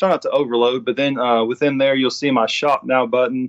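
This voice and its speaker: A man speaks at a fairly quick pace with a Southern US accent and ordinary pitch variation. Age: 30s. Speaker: sports artist. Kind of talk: interview. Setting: remote call.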